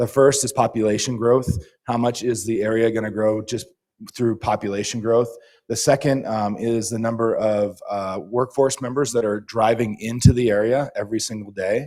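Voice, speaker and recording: A man at medium pitch speaks in a dark, mellow tone with fairly even intonation. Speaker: housing consultant presenting to planning commission. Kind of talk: presentation. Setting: public meeting. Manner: fast.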